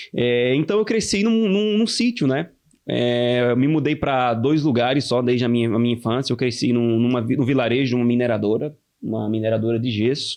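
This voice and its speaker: Speaking with a Pernambuco accent, a man of medium pitch keeps a fairly quick pace, very even loudness and ordinary pitch variation. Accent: Brazilian northeastern (Pernambuco). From Brazil, Pernambuco (interior, Ipubi). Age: 20s. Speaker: young church elder. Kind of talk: casual podcast interview, testimony.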